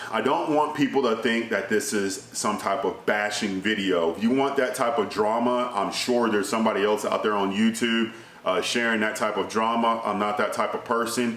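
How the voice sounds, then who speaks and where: A man at medium pitch and moderate pace, hardly any pauses, very even loudness and fairly even intonation, with audible room echo and noticeable background noise. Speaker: gun channel vlogger. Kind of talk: casual vlog monologue. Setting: indoors. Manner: naturally loud, kept down here; filler-heavy conversational. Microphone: speaking softer to avoid echo.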